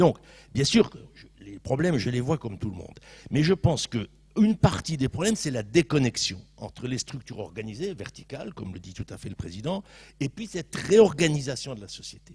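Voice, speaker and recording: A somewhat breathy man at medium pitch talks at a fairly quick pace, with very wide pitch swings and big swings in loudness. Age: 60s. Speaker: sociologist panelist at round table. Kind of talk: panel debate.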